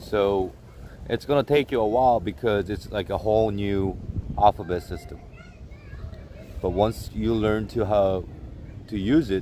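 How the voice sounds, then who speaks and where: A man in a Korean accent at a fairly slow pace and a fairly low pitch, with ordinary pitch variation and long, frequent pauses. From South Korea, Seoul. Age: 30s. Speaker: live streamer. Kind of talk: casual chat. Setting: outdoors in a park.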